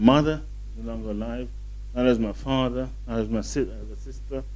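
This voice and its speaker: In a room with audible echo, a man with a very deep, low voice speaks fairly quickly in a monotone, flat intonation. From southern England. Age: 50s. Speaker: show host. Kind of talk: casual monologue to camera. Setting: hotel in London.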